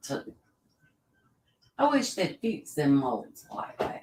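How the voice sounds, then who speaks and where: The speaker talks at a fairly slow pace in an animated tone, with very wide pitch swings. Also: woman. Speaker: auctioneer. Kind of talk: live auction.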